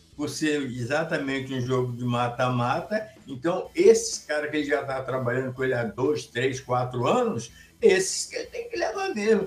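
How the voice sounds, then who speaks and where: Moderate-paced speech with noticeable background noise. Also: man. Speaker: sports commentator panelist. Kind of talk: casual sports chat livestream. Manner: animated.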